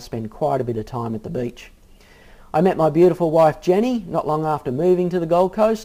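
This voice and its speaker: A man speaks with an Australian accent at a fairly quick pace. His pitch is fairly high and his intonation lively. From Australia, Sydney. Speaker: fitness coach. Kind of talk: personal introduction video. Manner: casual, friendly.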